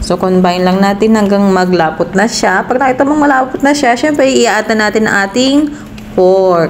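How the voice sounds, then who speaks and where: A woman's fairly quick, lively-toned speech with noticeable background noise. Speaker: cooking vlogger. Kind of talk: cooking tutorial.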